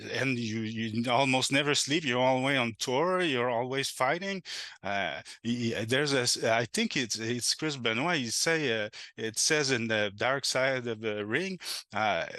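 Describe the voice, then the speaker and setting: In a Quebec accent, a man talks at a fairly slow pace and medium pitch, his tone bright and sharp, with ordinary pitch variation over a quiet background. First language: French. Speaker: game designer. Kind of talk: casual interview chat. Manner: halting, many fillers and restarts.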